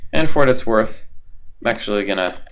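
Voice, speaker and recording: An unremarkable speaking voice with lively intonation, moving at a fairly quick pace. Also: man. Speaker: college instructor. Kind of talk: tutorial. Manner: casual, with many fillers.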